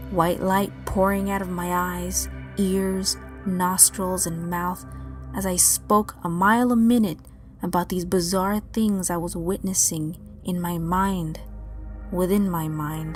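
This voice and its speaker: Against music in the background, a woman speaks very slowly in a fairly low, monotone, flat voice. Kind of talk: dream journal reading; ASMR-style dream story narration.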